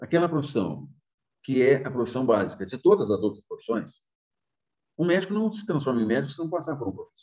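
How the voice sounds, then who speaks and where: A man speaks at a fairly high pitch with very wide pitch swings and big swings in loudness, in a dark, mellow tone. His pace is fairly quick, broken by long, frequent pauses. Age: 60s. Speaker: journalism professor. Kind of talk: interview testimony.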